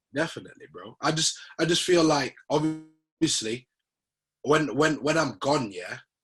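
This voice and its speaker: A man with a Leeds accent at a fairly high pitch and fairly slow pace, with ordinary pitch variation and big swings in loudness. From northern England, Leeds. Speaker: rapper. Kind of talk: interview. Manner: casual, slangy.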